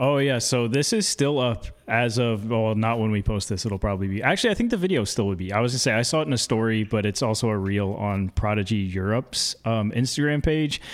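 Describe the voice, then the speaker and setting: In a plain, everyday voice of medium pitch, a man talks at a fairly quick pace with hardly any pauses and ordinary pitch variation. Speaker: podcast co-host and disc golfer. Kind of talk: casual chat.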